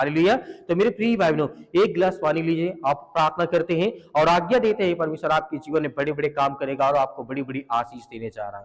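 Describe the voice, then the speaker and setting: Lively intonation marks this man's fairly high pitch, delivered at a moderate pace in an ordinary speaking voice. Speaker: pastor / preacher leading prayer. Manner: reassuring, calm teaching.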